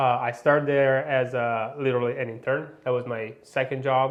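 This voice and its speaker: A man with an Italian accent speaks in a monotone, with flat intonation, at a medium pitch. Audible echo from the room surrounds his voice. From Italy. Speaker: motorcycle industry manager, former racer. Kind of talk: interview. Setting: studio.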